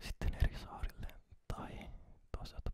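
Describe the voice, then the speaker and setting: A man whispers at a fairly slow pace. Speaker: ASMR creator. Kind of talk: casual talk to camera, ASMR chat about recent holiday. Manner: soft whispering, slow.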